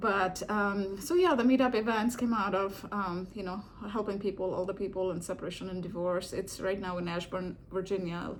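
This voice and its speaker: With an American accent, a woman speaks at a medium pitch and a moderate pace, with fairly even intonation, hardly any pauses and audible room echo. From India. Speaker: video blogger and divorce support meetup organizer. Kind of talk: casual reflective vlog talk. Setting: home living room. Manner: hesitant, with many fillers.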